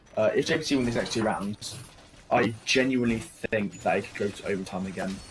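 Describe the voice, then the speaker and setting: There is noticeable background noise as a man talks fairly quickly in a fairly low pitch. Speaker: esports caster. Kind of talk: live commentary. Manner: halting, many fillers.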